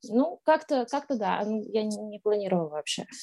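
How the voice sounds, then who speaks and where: Her intonation lively, a woman delivers her words very slowly. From Kazakhstan, Astana. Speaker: blogger. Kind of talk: interview.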